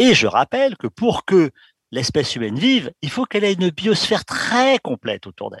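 A man speaks at a high pitch with very wide pitch swings. The background is quiet, and the sound is dry and close with no echo. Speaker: exobiologist. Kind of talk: interview. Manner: firm.

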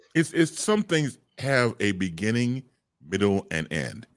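Vocal fry colors a man's medium-pitched voice. He keeps a moderate pace with very wide pitch swings. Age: 50s. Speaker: broadcaster. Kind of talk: casual chat.

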